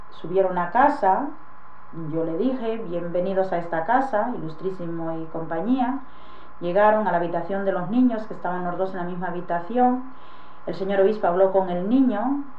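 At a moderate pace with ordinary pitch variation, the voice carries audible room echo and light background noise. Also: woman. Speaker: witness. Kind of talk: interview answer. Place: home room. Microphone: old recording.

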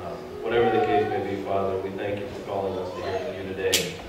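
Through strong room echo and noticeable background noise, a man talks at a fairly quick pace. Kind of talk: public prayer. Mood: calm, reverent. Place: church.

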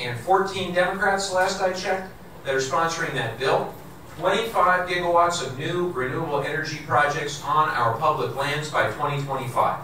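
With audible room echo and light background noise, a man talks at a moderate pace with ordinary pitch variation. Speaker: politician at a town hall. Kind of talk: public speech. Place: hall.

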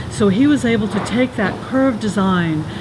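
There is noticeable background noise. Through it, a woman speaks at a moderate pace. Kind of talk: casual vlog chat. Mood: enthusiastic, admiring. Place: factory.

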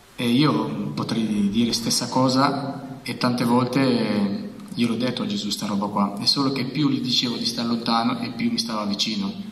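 A man talks at a moderate pace with a medium pitch. Room echo is audible. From Albania. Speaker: author. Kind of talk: testimony. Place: meeting room. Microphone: handheld.

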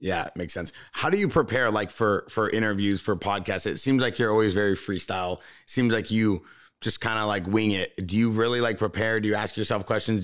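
A very fast, fairly low-pitched man's voice against a quiet background. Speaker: podcast host. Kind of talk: casual chat. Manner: animated. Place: studio. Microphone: studio mic.

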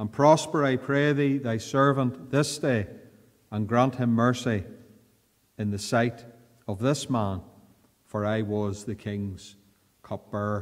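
In a Northern Irish accent, a man speaks at a very slow pace over a quiet background. He uses ordinary pitch variation and long, frequent pauses. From Northern Ireland. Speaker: pastor. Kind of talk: fervent prayer in church, then Bible study sermon. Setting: church. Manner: earnest, formal, pleading tone in prayer; measured, pausing often with repeated 'Lord'. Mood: calm, earnest. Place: church. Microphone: podium.

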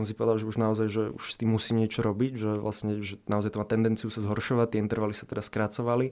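Speaking very fast, a man keeps his medium-pitched voice monotone and flat. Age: 20s. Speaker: medical student and back-pain patient. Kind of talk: interview. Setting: studio.

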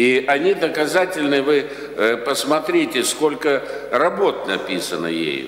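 At a very slow pace, a man talks amid audible room echo. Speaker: professor, council member. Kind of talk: academic question and commentary. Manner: halting. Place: meeting room. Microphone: podium.

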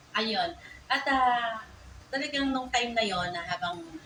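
A woman's warm-toned voice at a moderate pace, with lively intonation over noticeable background noise. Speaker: salon owner and vlogger. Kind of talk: vlog narration. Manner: polite and warm.

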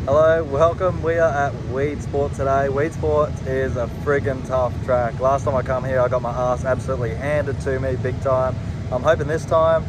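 The speech comes at a moderate pace with hardly any pauses. The sound is dry with no echo, and noticeable background noise is present. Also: man. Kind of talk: casual vlog chat. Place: street. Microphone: phone near.

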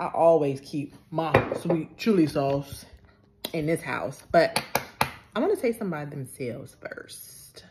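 Over loud background noise, a woman speaks very slowly with long, frequent pauses and ordinary pitch variation. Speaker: food vlogger. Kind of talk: casual vlog chat. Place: home room. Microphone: phone near.

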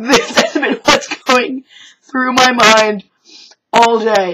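Shouting in a raised, projected voice, a woman speaks at a very slow pace and high pitch with ordinary pitch variation. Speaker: retail worker. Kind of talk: casual talk to camera. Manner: loud, shouting.

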